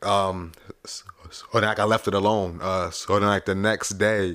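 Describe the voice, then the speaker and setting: Fairly low in pitch, a man speaks in a bright, sharp tone with fairly even intonation. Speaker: podcast co-host. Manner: passionate about topics.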